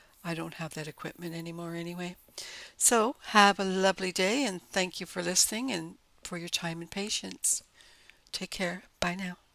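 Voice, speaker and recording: A bright, sharp voice with ordinary pitch variation and big swings in loudness comes across on a very clean recording with a silent background. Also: woman, fairly low pitch for a woman. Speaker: pet channel creator. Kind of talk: casual monologue. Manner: slow. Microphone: mic very close to mouth, breathing audible.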